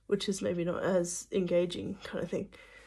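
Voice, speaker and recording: A woman's somewhat breathy voice comes through on a very clean recording with a silent background. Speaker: religious video maker. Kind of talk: casual encouragement talk to camera. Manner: halting, stumbles over words; uses many fillers.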